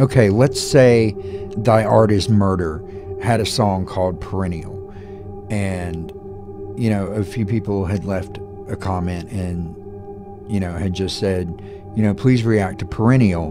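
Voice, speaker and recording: Clear music plays in the background while a man speaks at a fairly slow pace with long, frequent pauses. His voice is fairly low, with ordinary pitch variation. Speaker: music reaction youtuber. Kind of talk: commentary. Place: home room. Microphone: studio mic.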